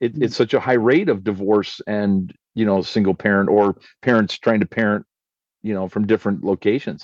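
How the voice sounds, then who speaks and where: In a Canadian accent, a man with a plain, everyday voice and a fairly low pitch talks at a fairly quick pace with ordinary pitch variation, in a dry, close sound with no echo over a quiet background. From Canada. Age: 50s. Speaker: pastor. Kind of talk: casual chat.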